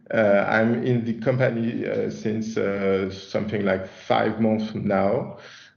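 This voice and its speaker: Speaking very slowly with hardly any pauses, in a French accent, the voice keeps fairly even intonation and very even loudness against audible room echo. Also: man, fairly low pitch for a man. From France. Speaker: chief product officer presenting a software release. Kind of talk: webinar presentation. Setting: online webinar. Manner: halting, many fillers and repetitions.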